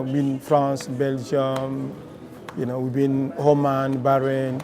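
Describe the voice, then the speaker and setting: With a Congolese accent, a man speaks at a fairly high pitch and a moderate pace amid noticeable background noise. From DR Congo. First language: Lingala. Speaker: musician, band leader. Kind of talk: documentary interview. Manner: halting, with many fillers.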